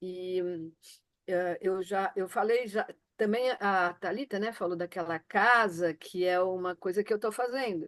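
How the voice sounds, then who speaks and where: At a fairly slow pace, a woman speaks at medium pitch with fairly even intonation. The sound is dry and close with no echo, over a quiet background. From Florianópolis, southern Brazil. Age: 60s. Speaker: participant sharing orgone box experiences. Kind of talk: personal testimony in group video meeting. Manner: hesitant, many fillers and restarts.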